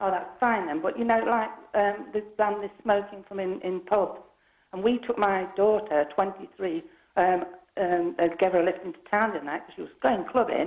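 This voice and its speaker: At a moderate pace, a woman of medium pitch speaks with ordinary pitch variation and big swings in loudness. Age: 60s. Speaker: caller. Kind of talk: phone-in call. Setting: phone call. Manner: rambling, halting. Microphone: poor phone line.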